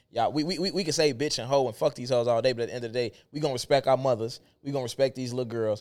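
Hardly pausing, a man talks at a very fast pace and medium pitch on a very clean recording with a silent background. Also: ordinary pitch variation. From Chicago. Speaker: podcast co-host. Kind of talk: casual chat.

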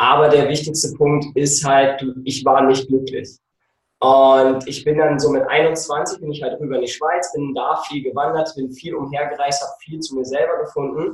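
A man talks at a moderate pace in a fairly high pitch, somewhat breathy. His loudness swings a lot. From Germany. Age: 30s. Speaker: nutrition coach and photographer. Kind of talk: casual interview. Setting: video call. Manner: animated. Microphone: occasionally distorted.

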